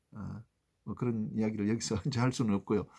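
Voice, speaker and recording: The recording of a man is very clean, with a silent background. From South Korea, Gyeongbuk (Yeongdeok coast). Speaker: law professor and former ship captain. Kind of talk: vlog monologue to camera. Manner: halting, many fillers.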